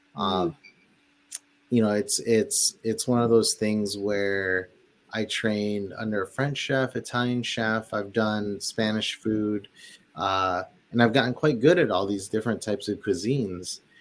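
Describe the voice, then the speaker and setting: In a Midwestern American accent, a man speaks fairly slowly at a fairly low pitch with ordinary pitch variation, on a very clean recording with a silent background. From Detroit, Michigan (born in the Philippines). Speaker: chef and restaurateur. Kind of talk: casual interview chat.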